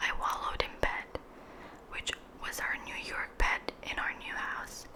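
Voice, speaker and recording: Someone is whispering at a fairly slow pace. Noticeable background noise sits underneath. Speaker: ASMR creator. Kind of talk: casual talk to camera. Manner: whispered.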